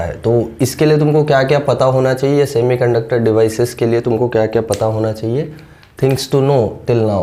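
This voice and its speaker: In a room with audible echo and noticeable background noise, a man speaks at a fairly slow pace with a medium pitch and ordinary pitch variation. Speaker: physics teacher. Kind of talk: lecture.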